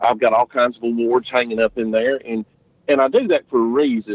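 Speaking with a Southern US accent, a man keeps a fairly quick pace. His pitch variation is ordinary. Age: 40s. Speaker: barbecue competitor and insurance agent. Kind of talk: casual interview. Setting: outside his office, remote call.

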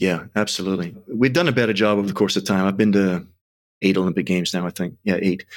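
Talking at a very fast pace, a man with a fairly low pitch keeps his intonation fairly even on a very clean recording with a silent background. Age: 40s. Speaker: sprint and strength coach, CEO. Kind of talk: casual interview chat.

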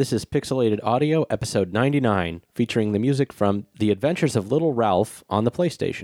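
A man in a put-on, robotic character voice, pitched in the middle range, talks at a fairly quick clip with hardly any pauses. The sound is dry and close, with no echo. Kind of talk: flat podcast intro.

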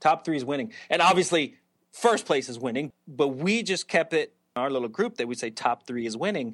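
Fairly high in pitch, a man talks at a moderate pace in a plain, everyday voice with lively intonation over a quiet background. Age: 40s. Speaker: psychologist and author, former professional BMX racer. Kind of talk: interview.

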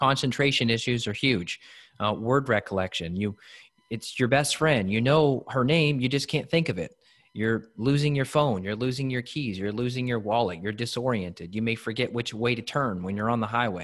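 A man's unremarkable speaking voice at medium pitch, with ordinary pitch variation and a moderate pace, on a very clean recording with a silent background. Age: 30s. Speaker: functional medicine practitioner. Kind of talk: interview.

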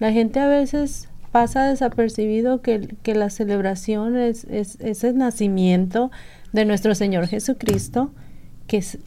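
With fairly even intonation, a woman's fairly high voice carries a dark, mellow tone in a very clean recording with a silent background. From Sonora, northern Mexico. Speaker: radio volunteer. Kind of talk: casual chat. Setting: studio.

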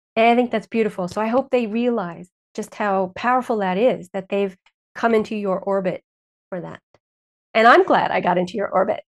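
A woman's plain, everyday voice at medium pitch, fairly quick pace, and ordinary pitch variation. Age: 50s. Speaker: Chinese and functional medicine practitioner. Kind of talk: interview.

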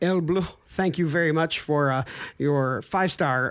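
Talking at a moderate pace, a man has a normal speaking voice pitched fairly high. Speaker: podcast host. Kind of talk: casual chat.

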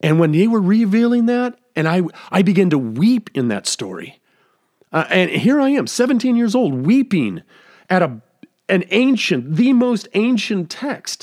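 In a high pitch with very wide pitch swings, a man speaks at a fairly slow pace. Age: 50s. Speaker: podcast host and pastor. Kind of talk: solo scripted podcast monologue.

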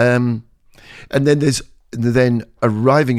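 This man has an English accent and ordinary pitch variation. The recording is very clean, with a silent background. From England. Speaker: community drama director. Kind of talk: casual chat.

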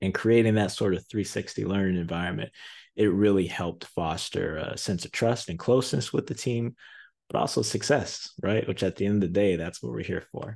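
With an American accent, a man talks fairly quickly in a fairly low pitch with ordinary pitch variation against a quiet background. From Zion, Illinois (Chicago area). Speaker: sales podcast guest host. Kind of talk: solo podcast monologue.

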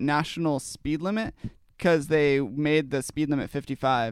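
A fairly high-pitched man with an American accent, dry, close sound with no echo, very clean recording with a silent background. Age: young. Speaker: podcast co-host. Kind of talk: casual chat.

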